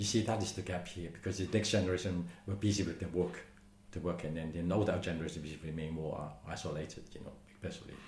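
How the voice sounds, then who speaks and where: Fairly quick and somewhat breathy, a man speaks in a very deep, low pitch with a Hong Kong accent and fairly even intonation. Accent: Hong Kong Cantonese-accented English. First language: Cantonese. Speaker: community centre manager. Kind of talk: oral history interview answer.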